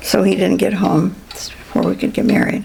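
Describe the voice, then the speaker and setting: A woman speaks with an American accent at a fairly slow pace. Noticeable background noise is present. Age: 90s. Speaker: interviewee in family oral history. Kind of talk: oral history interview. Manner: halting.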